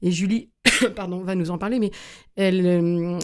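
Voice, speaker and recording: A woman's medium-pitched voice, dark and mellow in tone, comes through on a very clean recording with a silent background. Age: 50s. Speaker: festival co-founder and tourism entrepreneur. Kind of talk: radio interview.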